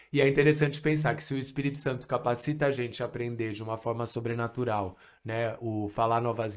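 A man keeps his intonation fairly even and his pace fairly quick against a quiet background. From Brazil, São Paulo city. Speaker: missionary and language trainer. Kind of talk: podcast interview. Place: studio. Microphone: studio mic.

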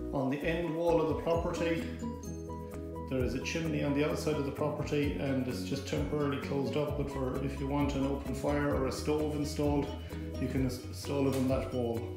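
Someone talks at a fairly quick pace with audible room echo and clear music playing in the background. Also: man. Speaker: auctioneer. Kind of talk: property tour narration. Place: home room. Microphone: phone near.

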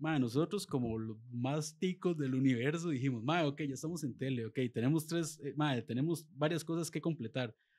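This man's voice sits fairly high, with ordinary pitch variation. He keeps a moderate pace with hardly any pauses. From Costa Rica, Alajuela; Costa Rica. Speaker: sports show presenter; presenter. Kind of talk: casual chat. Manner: animated. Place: studio. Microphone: studio mic.

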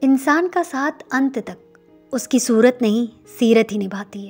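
Over music in the background, a woman speaks at a high pitch with big swings in loudness. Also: ordinary pitch variation. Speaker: writer and narrator. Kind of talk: spoken-word relationship advice narration.

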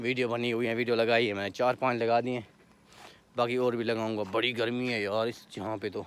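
Medium-pitched and monotone, a man talks at a moderate pace with flat intonation. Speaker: vlogger. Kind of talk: casual vlog.

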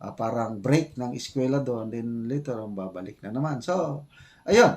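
With a normal speaking voice, the delivery is fairly slow and shows ordinary pitch variation. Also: man. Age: 60s. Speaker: retired military officer and vlogger. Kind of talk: casual vlog commentary.

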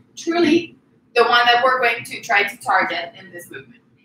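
A woman talks at a fairly quick pace with a high pitch. There is audible room echo and light background noise. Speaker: fitness coach. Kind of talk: workout tutorial. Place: garage. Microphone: camera far.

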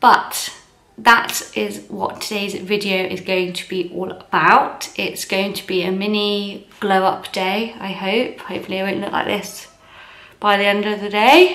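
Audible room echo surrounds a woman speaking. Her pace is fairly slow and her intonation fairly even. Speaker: vlogger. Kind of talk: casual vlog chat. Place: kitchen. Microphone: phone near.

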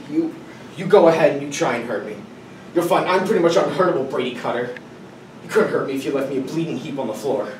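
Very fast speech from a man, with audible room echo and light background noise. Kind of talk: dramatic monologue performance. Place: classroom. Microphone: camera far.

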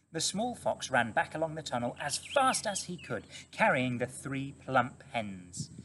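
Someone reads aloud in a plain way.

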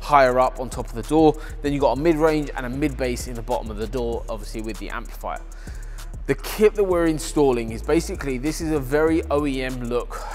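A man speaks at a fairly quick pace with big swings in loudness, faint music playing in the background. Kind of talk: product explanation to camera. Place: workshop.

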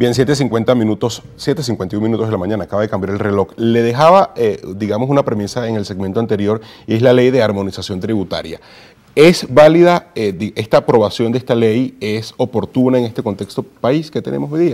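A man's pitch shifts in an ordinary way as he talks at a moderate speed. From Venezuela. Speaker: morning news presenter; news presenter. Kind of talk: news interview. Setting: studio. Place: studio. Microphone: lapel.

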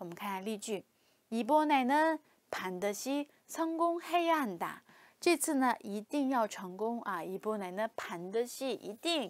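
Pitch swings very widely as this woman talks in a fairly high register. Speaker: Korean language teacher. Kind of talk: lecture. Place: studio. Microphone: lapel.

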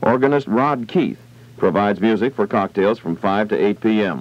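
Speaking with an American accent, a man keeps a moderate pace. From United States, California. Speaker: radio announcer. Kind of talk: radio commercial read. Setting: vintage 1960s radio broadcast recorded from old tape. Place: studio. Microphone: old recording.

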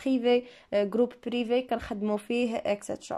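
An ordinary speaking voice with fairly even intonation. The recording is very clean, with a silent background. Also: woman. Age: 20s. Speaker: English teacher and YouTuber. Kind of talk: Q&A video monologue. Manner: casual, conversational.

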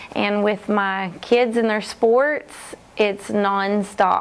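A woman's fairly high voice, flat and monotone, at a very slow pace. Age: 30s. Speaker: personal trainer and brand ambassador. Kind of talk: testimonial. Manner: halting, many fillers. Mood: warm, upbeat.

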